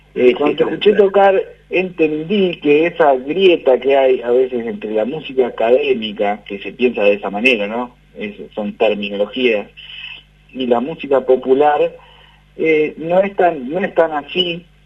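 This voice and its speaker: Over noticeable background noise, a man talks at a fairly slow pace in a fairly high pitch with very wide pitch swings. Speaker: radio interviewer. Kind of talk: radio interview question.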